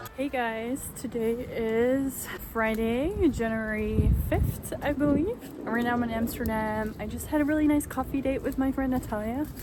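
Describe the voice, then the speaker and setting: With noticeable background noise and audible room echo, a woman talks at a moderate pace in a high voice with fairly even intonation. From Netherlands. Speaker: vlogger. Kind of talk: casual vlog. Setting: outdoors in city; gym. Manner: soft-spoken.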